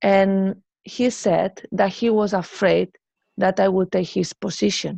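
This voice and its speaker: A woman in a Spanish accent at medium pitch, monotone and flat, very slow, very even in loudness, with a dry, close sound and no echo. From Spain. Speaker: musician. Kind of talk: interview.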